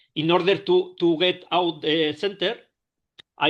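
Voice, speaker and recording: Very slow speech with fairly even intonation, in a Spanish accent. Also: man. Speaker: stroke survivor. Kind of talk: testimony. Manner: halting.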